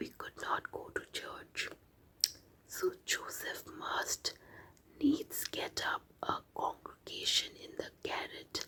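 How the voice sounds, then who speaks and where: Whispering in an Indian accent, a woman keeps a calm tone. She goes at a very slow pace. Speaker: ASMR artist. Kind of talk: reading aloud. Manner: soft-spoken; slow, calm.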